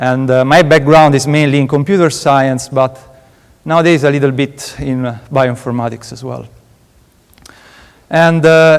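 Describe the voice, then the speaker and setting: Moderate pace and fairly even intonation, with an Italian accent. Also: man. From Italy, Rome. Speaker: PhD student researcher. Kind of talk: conference talk. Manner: halting, many fillers.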